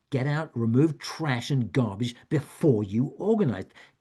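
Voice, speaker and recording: A somewhat breathy man with an American accent and lively intonation. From United States. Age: 70s. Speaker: author and retired professor giving a wellness talk. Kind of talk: talk. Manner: halting, with frequent repetitions.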